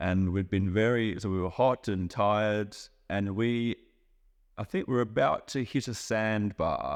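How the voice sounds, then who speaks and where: A man's fairly low voice with an Australian accent, fairly even intonation and a fairly slow pace, over a quiet background. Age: 30s. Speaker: chef and traveller. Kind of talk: interview for English learners.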